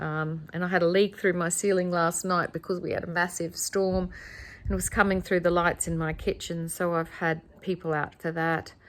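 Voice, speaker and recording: A woman's fairly low voice with an Australian accent, at a moderate pace and in a monotone, flat intonation. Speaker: guesthouse owner. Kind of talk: home tour vlog. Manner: breathless at times.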